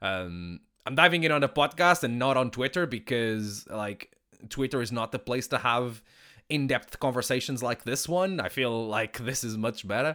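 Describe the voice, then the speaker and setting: A man with a bright, sharp tone and medium pitch speaks at a moderate pace with lively intonation, recorded very cleanly against a silent background. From Portugal. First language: Portuguese. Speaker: professional wrestler and podcaster. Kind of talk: casual solo podcast monologue. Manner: many fillers and repetitions.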